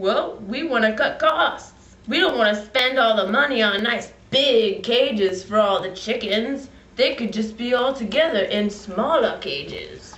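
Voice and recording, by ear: In a put-on character voice, a female-sounding speaker with a fairly high pitch talks at a moderate pace with hardly any pauses.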